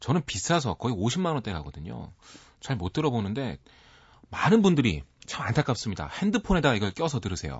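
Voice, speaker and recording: Fairly quick speech from a man, with vocal fry and very wide pitch swings. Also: medium pitch for a man. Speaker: music critic. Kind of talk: radio music commentary. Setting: radio studio.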